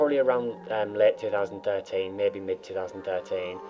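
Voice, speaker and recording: A man with a North East England accent talks at a fairly quick pace. Music plays in the background. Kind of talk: casual gameplay commentary.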